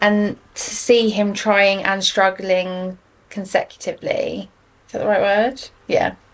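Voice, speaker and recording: Noticeable noise fills the background. Through it, a woman speaks fairly slowly. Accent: English. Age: 30s. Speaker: mental health guest. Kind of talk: casual chat.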